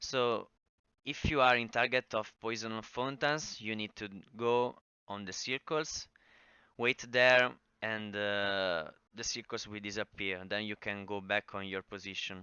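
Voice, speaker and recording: In an Italian accent, a man speaks at a fairly slow pace. His pitch is fairly low, with ordinary variation. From Italy. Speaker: gaming guide creator. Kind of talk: tutorial. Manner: halting, many fillers.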